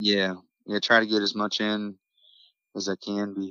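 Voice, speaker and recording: In an Appalachian accent, a man speaks with fairly low pitch and monotone, flat intonation. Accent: Appalachian American. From Morgantown, West Virginia. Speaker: singer-songwriter. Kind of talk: interview.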